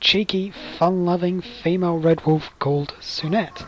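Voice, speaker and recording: Noticeable background noise is present. The speech moves at a moderate pace. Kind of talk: casual instructional talk over gameplay.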